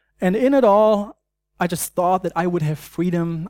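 In a very clean recording with a silent background and a dry, close sound with no echo, a man with a German accent speaks at a moderate pace in a high pitch with ordinary pitch variation. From Germany. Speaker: preacher and university student ministry worker. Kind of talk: sermon. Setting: church. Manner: halting, many fillers.

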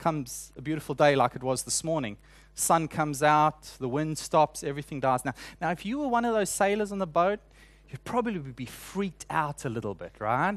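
With a South African accent, a man speaks at a fairly high pitch and a fairly quick pace. His intonation is lively, against a quiet background. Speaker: preacher. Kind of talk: sermon.

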